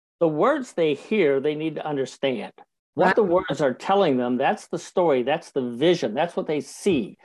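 Against a quiet background, a man with an ordinary speaking voice talks at a fairly high pitch with lively intonation. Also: moderate pace. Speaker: professional speaker and speaker coach. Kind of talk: interview.

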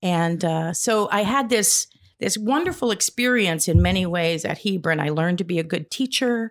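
Someone with an American accent and a plain, everyday voice speaks at a moderate pace. The recording is very clean, with a silent background. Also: woman, medium pitch for a woman. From US Midwest. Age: 60s. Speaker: poet and playwright. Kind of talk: casual interview.

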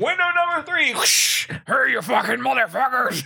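Putting on a character voice, a man speaks in a raised, projected voice at an extremely high pitch. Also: moderate pace. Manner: frantic, screaming.

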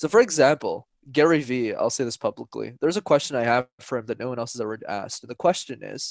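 A man with a Canadian accent speaks very fast at a medium pitch with ordinary pitch variation. The sound is dry and close with no echo, against a quiet background. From Canada, Montreal. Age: 20s. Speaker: public speaking coach. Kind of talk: casual interview.

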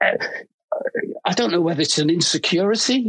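The speaker has a Liverpool accent. The pace is moderate. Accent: Scouse. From Liverpool, England. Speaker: fashion photographer. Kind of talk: casual chat. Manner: halting, many fillers.

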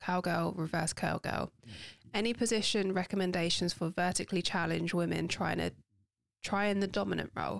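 A woman speaks with a London accent at a fairly quick pace. Her loudness stays very even. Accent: cockney-tinged London. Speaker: podcast host. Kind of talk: casual chat.

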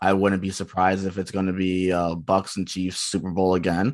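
A man with an American accent has a plain, everyday voice. His pitch is fairly low, and his pace is moderate. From US Northeast, Philadelphia area. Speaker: guest co-host, football fan. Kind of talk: casual sports chat.

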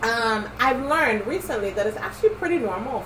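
Over noticeable background noise, a woman talks at a fairly quick pace. Her fairly high pitch swings very widely. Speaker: podcast co-host. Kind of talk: casual chat. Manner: playful, likes singing.

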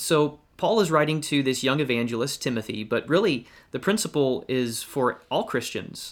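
A man with an American accent has a normal speaking voice at a fairly high pitch, with ordinary pitch variation. His moderate pace comes through on a very clean recording with a silent background. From Georgia, US South. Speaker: evangelist and podcast co-host. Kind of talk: Bible study discussion.

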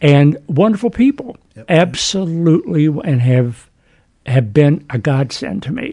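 A man speaks fairly slowly with a fairly high pitch, a dark, mellow tone and a somewhat breathy quality. His pitch swings very widely and his loudness shifts a lot. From US South, West Virginia (Huntington, Wayne County). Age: 70s. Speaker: retired educator. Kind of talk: testimony. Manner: halting.

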